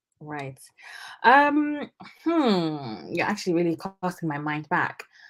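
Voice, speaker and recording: A woman with a British accent speaks at a very slow pace in a fairly low pitch. Her pitch swings very widely. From UK. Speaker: junior doctor. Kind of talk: interview. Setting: live stream.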